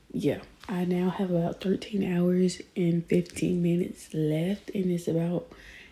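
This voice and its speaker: A woman whispers in a somewhat breathy voice. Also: very clean recording, silent background. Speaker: book vlogger. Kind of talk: casual vlog chat. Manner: whispering.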